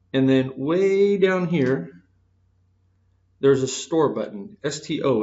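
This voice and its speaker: A man is speaking. There is audible room echo. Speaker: math teacher. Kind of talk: lecture. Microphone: echo in room.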